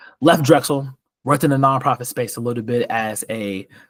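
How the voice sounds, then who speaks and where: The voice has ordinary pitch variation and a dry, close sound with no echo. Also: man. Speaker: scholarship coach and business analyst. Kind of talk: presentation. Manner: fast.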